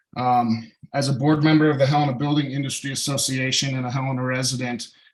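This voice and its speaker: A man with an American accent, medium in pitch and flat, monotone in intonation, talking very fast amid audible room echo. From Montana. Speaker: public commenter, business owner. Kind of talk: public comment at council meeting. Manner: formal.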